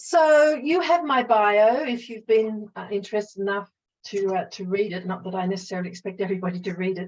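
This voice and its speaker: Medium-pitched woman with an Australian accent, fairly quick, with ordinary pitch variation. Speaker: psychologist and mediator. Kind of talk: webinar presentation.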